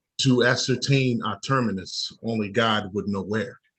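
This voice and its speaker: Somewhat breathy, a man talks at a medium pitch and a fairly slow pace with ordinary pitch variation. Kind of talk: spoken word poetry performance.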